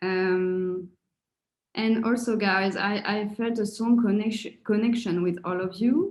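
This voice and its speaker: A woman with a French accent speaks very slowly in a somewhat breathy voice of medium pitch, her intonation fairly even. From France. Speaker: coaching course participant. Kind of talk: testimonial. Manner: halting, with many fillers and repetitions.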